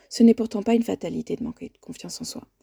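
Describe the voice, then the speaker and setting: A woman speaks in a calm, warm tone, recorded with a dry, close sound and no echo. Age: 40s. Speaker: life coach and podcast host. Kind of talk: solo podcast monologue. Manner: calm and warm.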